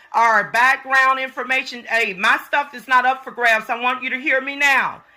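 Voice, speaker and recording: Over noticeable background noise, a woman with an American accent uses a raised, projected voice at a high pitch and a moderate pace. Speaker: vlogger. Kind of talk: complaint vlog. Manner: loud; animated.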